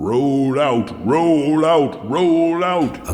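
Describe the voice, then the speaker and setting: Over faint background music and a clear echo, a man puts on a character voice pitched fairly high. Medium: audio drama. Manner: bellowing, commanding.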